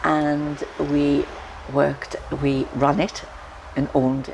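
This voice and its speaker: A woman's very deep, low voice over noticeable background noise. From northeast England, Sunderland. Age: 70s. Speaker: author. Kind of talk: life story interview. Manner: halting, with fillers and restarts.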